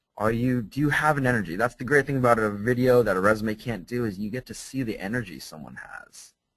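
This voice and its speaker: Speaking at a fairly quick pace with a General American accent, this man has a medium pitch, ordinary pitch variation, and a plain, everyday voice. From US West Coast. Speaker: English teacher. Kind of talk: webinar presentation. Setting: online webinar.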